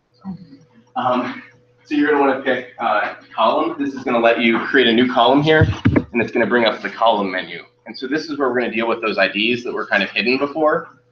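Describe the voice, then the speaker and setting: Audible room echo follows a man speaking at a medium pitch and fairly quick pace, with ordinary pitch variation. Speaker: college instructor. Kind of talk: lecture. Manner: fast.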